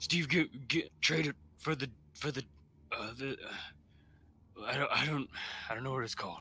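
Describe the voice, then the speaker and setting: In a put-on character voice, the speaker whispers quietly and breathily at a moderate pace. Long, frequent pauses break up the speech. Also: man. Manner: whispering secretly.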